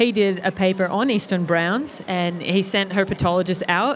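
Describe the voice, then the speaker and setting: A woman's medium-pitched voice with ordinary pitch variation amid noticeable background noise. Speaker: reptile educator.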